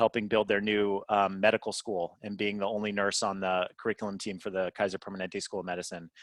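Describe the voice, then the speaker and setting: An American accent on a very clean recording with a silent background and a dry, close sound with no echo. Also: man. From California. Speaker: nurse executive. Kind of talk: interview. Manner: fast; animated.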